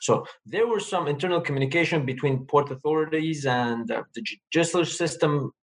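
A man speaks at a fairly quick pace with an Armenian accent. His pitch is fairly high, with ordinary variation. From Lebanon, Armenian family. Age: young. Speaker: community advocate. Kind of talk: casual chat.

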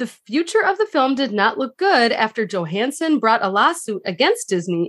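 A woman at a moderate pace, fairly high in pitch, with very wide pitch swings. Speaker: podcast co-host. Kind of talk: casual chat.

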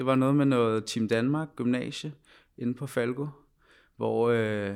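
The recording is very clean, with a silent background. A man at medium pitch speaks at a fairly slow pace. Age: 20s. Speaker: former professional footballer. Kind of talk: interview, personal story. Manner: halting, many fillers and repetitions.

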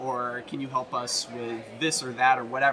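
Male speech in an American accent amid noticeable background noise. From US South, Tennessee near Nashville. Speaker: musician. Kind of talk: interview.

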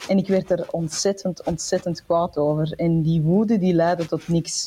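The woman's voice is somewhat breathy, with a dark, mellow tone. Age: 40s. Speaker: entrepreneur and author. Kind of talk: casual interview.

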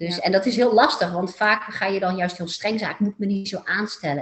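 The voice moves at a fairly quick pace. Its pitch varies in an ordinary way. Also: woman. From Netherlands, Eindhoven (North Brabant). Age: 40s. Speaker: therapist. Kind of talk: interview. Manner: hesitant with many fillers.

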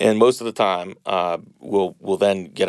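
In an American accent, a man speaks at a moderate pace with a very deep, low pitch. His intonation is fairly even, and the sound is dry and close with no echo. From Boston, US Northeast. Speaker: healthcare startup founder. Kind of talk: interview.

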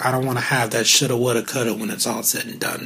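Flat, monotone speech comes through over noticeable background noise. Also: man. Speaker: podcast host. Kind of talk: solo podcast monologue. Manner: casual, conversational.

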